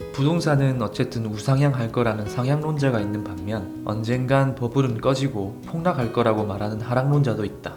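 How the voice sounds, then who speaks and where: Over music in the background, a man at a medium pitch speaks at a moderate pace with ordinary pitch variation and hardly any pauses. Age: 30s. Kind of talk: reflective monologue narration.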